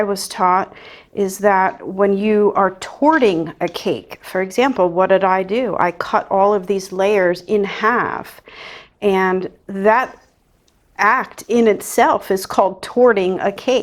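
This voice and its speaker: At a very slow pace, a woman with an American accent speaks in a medium pitch. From New Jersey. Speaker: baker. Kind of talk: tutorial. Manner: casual, chatty.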